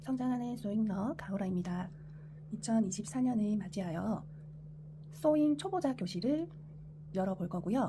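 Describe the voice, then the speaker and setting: A woman speaks with a Busan accent. Her pauses are long and frequent. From Korea, Busan. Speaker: sewing tutorial creator. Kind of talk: tutorial. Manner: halting, self-correcting.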